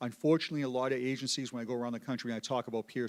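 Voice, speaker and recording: A man with a Boston accent talks at a very fast pace. His intonation stays fairly even. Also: very clean recording, silent background. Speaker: police peer support advocate. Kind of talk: panel discussion. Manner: halting, repeats words.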